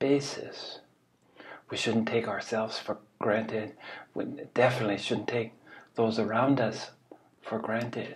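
A man talks at a fairly slow pace. His intonation is flat and monotone. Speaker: spiritual teacher. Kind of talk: reflective talk, dharma-style teaching. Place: home room. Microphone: webcam.

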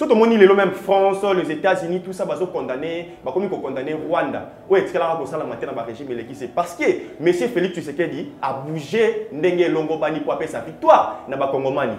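A man's high voice at a fairly quick pace with hardly any pauses, audible room echo and light background noise. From DR Congo. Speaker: political commentator. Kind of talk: TV political talk show discussion. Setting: TV studio. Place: studio. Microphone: lapel.

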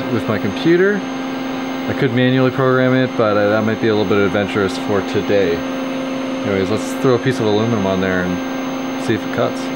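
A man at a fairly quick pace with ordinary pitch variation, amid loud background noise. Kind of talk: casual vlog chat. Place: workshop. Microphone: phone near.

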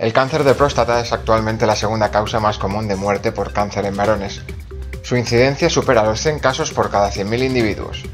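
Over music in the background, a man speaks at a fairly quick pace with a fairly low pitch. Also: lively intonation. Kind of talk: science news voice-over narration.

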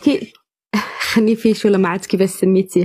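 This woman's voice is somewhat breathy. It sits at a medium pitch. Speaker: caller in a live debate stream. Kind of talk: heated debate.

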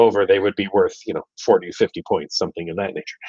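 The sound of this man's voice is dry with no echo, and the background is quiet. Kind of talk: live Q&A talk. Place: home room. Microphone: video call.

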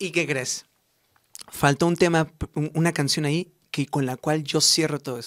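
Against a quiet background, a man speaks fairly slowly at a fairly high pitch with fairly even intonation and long, frequent pauses. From Mexico, Morelia, Michoacán; Michoacán, Mexico. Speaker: singer; interviewee. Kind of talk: radio interview. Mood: warm, grateful. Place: studio. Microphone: studio mic.

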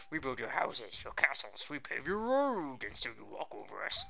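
A man puts on a character voice that sounds strained, speaking at a moderate pace. Clear background noise runs behind him. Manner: strained, accusatory.

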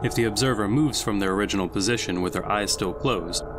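A man talks while noticeable background noise carries on behind his voice. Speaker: SCP story narrator.

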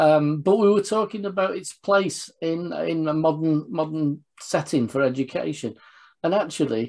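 A man is talking, his pitch rising and falling in an ordinary way. Nothing much stirs behind him. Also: moderate pace. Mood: warm, reminiscing. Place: home room. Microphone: video call.

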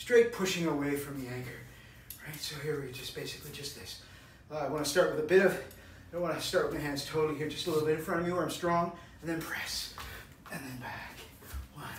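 A man speaking very fast with ordinary pitch variation and big swings in loudness, audible room echo, and light background noise. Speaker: fitness coach. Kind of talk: workout tutorial with counting. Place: home room. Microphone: camera far.

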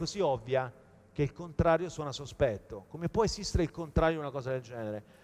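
The pitch shows ordinary variation. A man rattles through his words at a very fast pace. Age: 40s. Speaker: sustainability entrepreneur; conference speaker. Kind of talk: conference talk. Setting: stage with audience. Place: hall.

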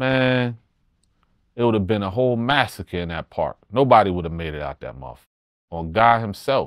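At a moderate pace, the speech has lively intonation and a dry sound with no echo against a quiet background. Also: man, medium pitch for a man. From New Jersey. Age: 40s. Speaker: rapper. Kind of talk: interview storytelling. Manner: animated. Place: studio.

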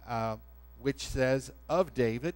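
A man speaks at a fairly slow pace. Music plays behind him. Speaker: pastor. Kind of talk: sermon. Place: church.

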